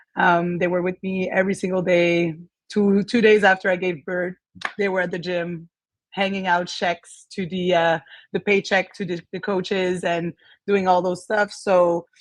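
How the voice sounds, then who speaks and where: A woman with a French Canadian accent speaks at a medium pitch and a moderate pace. Her intonation is monotone and flat over a quiet background. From Quebec, Canada. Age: 30s. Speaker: gym owner. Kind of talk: interview.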